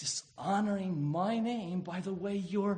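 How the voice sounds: Here we hear a natural reading voice. Its melody keeps mostly level.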